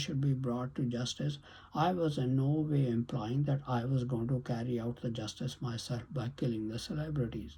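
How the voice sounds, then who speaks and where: Against a very clean recording with a silent background, a man speaks at a moderate pace with hardly any pauses. His medium-pitched voice is dark, mellow and somewhat breathy, with ordinary pitch variation. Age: 70s. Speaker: YouTube commentator. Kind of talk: monologue commentary.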